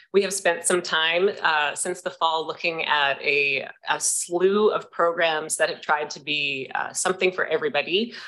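Fairly low in pitch for a woman, she speaks with a bright, sharp tone, fairly even intonation, a moderate pace and hardly any pauses. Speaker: executive director of arts nonprofit, former teacher; former teacher. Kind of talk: delegation presentation to council committee. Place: meeting room.

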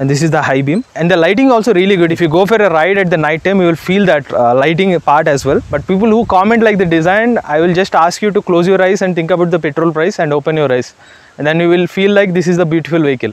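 Words come at a very fast pace with hardly any pauses, very even loudness, ordinary pitch variation and a dry sound with no echo. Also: man, high pitch for a man. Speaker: vehicle reviewer. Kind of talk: product review presentation. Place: open country.

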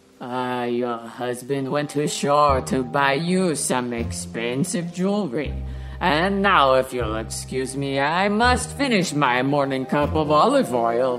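A put-on character voice at a low-to-middle pitch and fairly slow pace, with clear music in the background.

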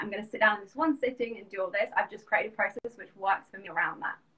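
A woman speaks with a London accent in a fairly high pitch. Her tone is bright and sharp, with ordinary pitch variation. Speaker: business coach. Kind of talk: casual interview. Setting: video call. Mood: friendly, enthusiastic. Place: home room. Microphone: video call.

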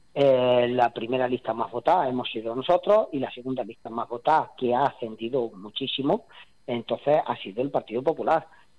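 Recorded with a dry, close sound and no echo, a man of medium pitch speaks at a fairly quick pace with ordinary pitch variation. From Spain, Andalusia (Jaén). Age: 40s. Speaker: mayor. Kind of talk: interview. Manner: halting.

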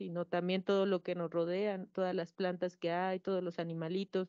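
Against a quiet background, a woman talks in a monotone, flat intonation, the sound dry with no echo. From Mexico, Puebla, Cholula region; Puebla, Mexico. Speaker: panelist. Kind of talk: panel discussion. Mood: earnest, concerned. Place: hall. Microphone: handheld.

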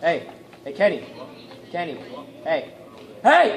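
A man speaks at a moderate pace with lively intonation. Background noise is noticeable. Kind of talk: parody vintage infomercial, sales pitch. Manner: animated, over-the-top salesman pitch, exaggerated cheerful announcer tone.

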